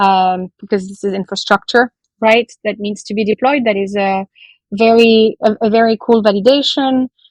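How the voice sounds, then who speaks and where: A woman with a French accent at a fairly high pitch and moderate pace, her intonation fairly even, in a dry, close sound with no echo and a quiet background. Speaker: blockchain project representative. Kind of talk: podcast interview. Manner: hesitant, many fillers.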